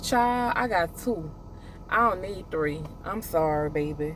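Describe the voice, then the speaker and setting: Speaking at a very slow pace, a woman has a very deep, low pitch and lively intonation. The room echo is audible. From US South. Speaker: trucking student vlogger. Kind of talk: casual vlog monologue. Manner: halting, repeats words; rambling, conversational.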